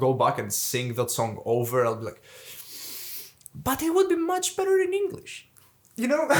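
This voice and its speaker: At a moderate pace, a man talks with a Greek Cypriot accent. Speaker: metal band vocalist. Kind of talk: casual interview chat.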